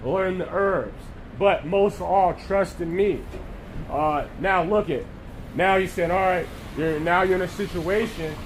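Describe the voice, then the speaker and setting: A man speaks loudly at a fairly slow pace, with a high pitch and ordinary pitch variation. There is audible room echo and noticeable background noise. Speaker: street preacher. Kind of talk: sermon.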